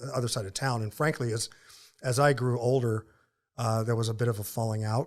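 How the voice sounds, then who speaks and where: A man with a Southern US accent at a medium pitch, fairly quick in pace, with fairly even intonation. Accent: Southern accent, returned after moving back. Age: 50s. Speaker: ministry founder and author. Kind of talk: interview conversation.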